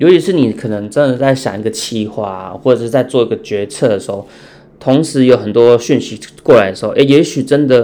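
The speech runs at a fairly quick pace with ordinary pitch variation. Its tone is dark and mellow. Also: man, medium pitch for a man. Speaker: insurance salesperson. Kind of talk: casual chat.

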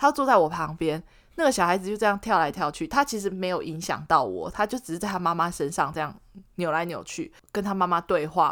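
Lively intonation and a fairly quick pace mark an ordinary speaking voice. The recording is very clean, with a silent background. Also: woman. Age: 30s. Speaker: podcast co-host. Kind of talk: casual chat.

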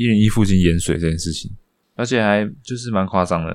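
On a very clean recording with a silent background, a man speaks at a fairly quick pace in a normal speaking voice, with ordinary pitch variation. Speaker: podcast co-host. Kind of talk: casual chat.

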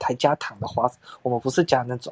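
A man's voice comes across as somewhat breathy. The sound is dry and close, with no echo. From southern Taiwan, Tainan. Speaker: podcast co-host. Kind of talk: casual chat.

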